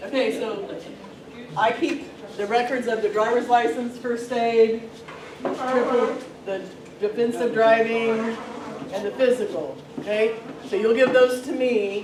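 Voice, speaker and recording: Amid noticeable background noise and audible room echo, a woman speaks at a fairly slow pace with long, frequent pauses, using a fairly high pitch and fairly even intonation. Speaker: transportation safety and records coordinator. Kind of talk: staff meeting briefing. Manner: loud, projecting.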